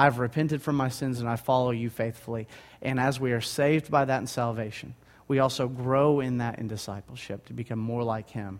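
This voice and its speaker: The speech moves at a fairly quick pace with fairly even intonation. It is a very clean recording with a silent background. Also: man, medium pitch for a man. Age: 20s. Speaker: guest preacher. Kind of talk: sermon. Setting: church.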